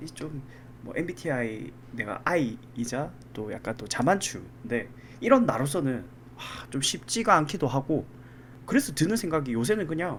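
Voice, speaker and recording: A man's somewhat breathy voice sits at a fairly high pitch and moves in very wide pitch swings. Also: moderate pace. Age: 30s. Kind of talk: casual podcast conversation.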